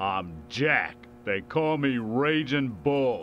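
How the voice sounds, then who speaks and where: A put-on character voice from a man, gruff and at medium pitch, at a very slow pace over clear background noise. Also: lively intonation. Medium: video game. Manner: gruff, hostile.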